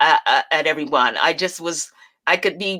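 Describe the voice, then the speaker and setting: A woman's medium-pitched voice with a bright, sharp tone, on a very clean recording with a silent background. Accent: American. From US South, North Carolina, later New Jersey. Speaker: stage performer and abuse survivor. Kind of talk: interview testimony.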